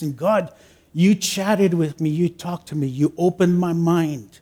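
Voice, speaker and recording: A man's high-pitched voice, dark and mellow in tone, with ordinary pitch variation at a moderate pace. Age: 60s. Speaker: lay preacher. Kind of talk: sermon. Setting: church.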